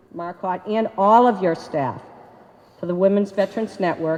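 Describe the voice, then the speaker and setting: A woman with a Boston accent speaks at a moderate pace and medium pitch, with lively intonation. Noticeable background noise is present. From Boston, Massachusetts. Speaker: army veteran, award recipient. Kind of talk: acceptance speech. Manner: loud.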